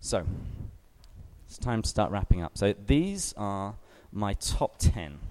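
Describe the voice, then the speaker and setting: In an English accent, a man speaks at a very slow pace with long, frequent pauses. His loudness swings widely, and the sound is dry and close with no echo. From England. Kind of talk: talk to young adult group.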